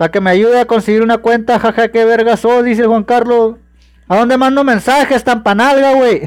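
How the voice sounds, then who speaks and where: Speaking at a moderate pace in a Mexican accent, a man uses an extremely high pitch, fairly even intonation and very even loudness over a quiet background. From Mexico. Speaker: gaming streamer. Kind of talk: live stream chat. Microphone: phone near.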